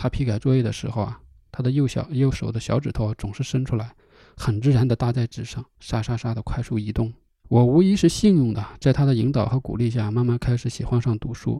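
At a fairly quick pace, a man with a medium pitch speaks in a relaxed, dark, mellow, somewhat breathy tone with ordinary pitch variation, in a very clean recording with a silent background. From northern China, Hebei–Inner Mongolia border countryside. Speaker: podcast host. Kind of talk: solo storytelling podcast. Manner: casual, relaxed with fillers.

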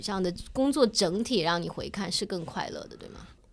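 This woman's pitch swings very widely. Her delivery holds a moderate pace. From China, small city. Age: middle-aged. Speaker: podcast co-host. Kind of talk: casual chat.

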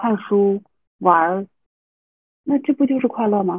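This woman talks at a moderate pace. Her medium pitch has ordinary pitch variation. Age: 30s. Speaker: university teacher and mother. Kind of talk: casual interview.

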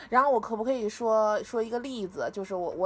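Pitch variation is ordinary. The delivery sounds animated. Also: woman. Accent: Beijing. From Beijing, China. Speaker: former student athlete. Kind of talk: casual chat. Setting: online call.

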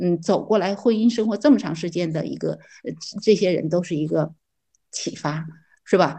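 Against a quiet background, a woman with a dark, mellow tone and vocal fry speaks with long, frequent pauses. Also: ordinary pitch variation, moderate pace. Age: 60s. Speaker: retiree. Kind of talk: casual chat. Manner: halting.

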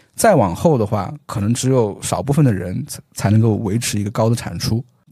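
A man with a somewhat breathy, dark, mellow tone speaks fairly quickly with lively intonation. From Xinjiang, China. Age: 30s. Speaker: economics professor. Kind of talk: casual interview. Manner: frequent filler particles.

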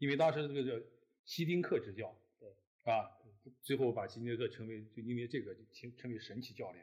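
A man talks at a fairly quick pace in a somewhat breathy voice, his loudness swinging widely, with long, frequent pauses. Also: medium pitch for a man, ordinary pitch variation. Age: 60s. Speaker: newspaper editor. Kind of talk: casual chat. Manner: halting.

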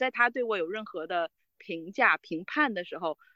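A woman talks at a moderate pace in a bright, sharp tone, the sound dry and close with no echo and the background quiet. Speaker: team leader. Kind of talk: interview. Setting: outdoors, remote call.

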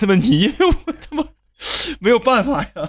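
A man talks at a fairly quick pace with a strong northeastern Chinese accent. His intonation is lively. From Northeast China. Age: middle-aged. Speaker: podcast co-host. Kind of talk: casual chat.

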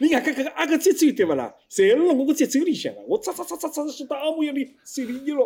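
This man's voice sits at an extremely high pitch, racing along very fast with hardly any pauses and ordinary pitch variation. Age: 50s. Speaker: former pingtan performer. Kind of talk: casual interview chat.

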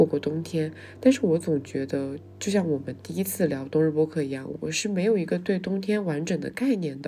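Her very deep, low voice has a dark, mellow tone and lively intonation as the woman moves at a fairly quick pace. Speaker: podcast host. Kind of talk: solo monologue.

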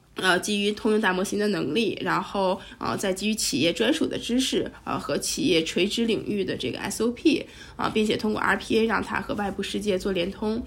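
With vocal fry, a woman speaks at a moderate pace in a medium pitch, her pitch variation ordinary. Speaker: startup founder and CEO, AI chatbot expert. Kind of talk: interview.

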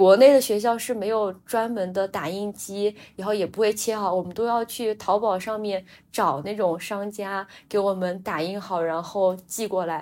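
Using a normal speaking voice, a woman talks at a moderate pace with medium pitch and fairly even intonation. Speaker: podcast co-host. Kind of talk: casual chat.

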